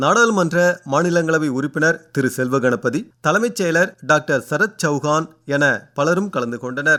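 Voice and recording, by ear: With lively intonation, a man speaks in a bright, sharp tone at a fairly high pitch.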